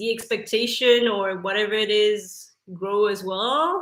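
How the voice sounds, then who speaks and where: At a very slow pace, a woman speaks with fairly high pitch and fairly even intonation. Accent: French. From France. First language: French. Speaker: YouTuber. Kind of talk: casual chat. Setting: live stream. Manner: halting.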